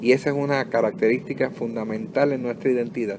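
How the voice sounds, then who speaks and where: Lively intonation comes at a fairly quick pace over noticeable background noise. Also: man. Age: 60s. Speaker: pastor. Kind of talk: sermon. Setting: home recording.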